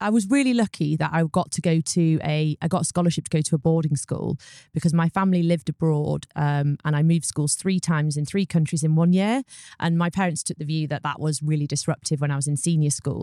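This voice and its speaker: A woman with a British accent speaks at a very fast pace, her very deep, low voice dark and mellow with ordinary pitch variation. The recording is very clean, with a silent background and a dry, close sound with no echo. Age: 30s. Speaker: solicitor and law firm founder. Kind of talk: interview.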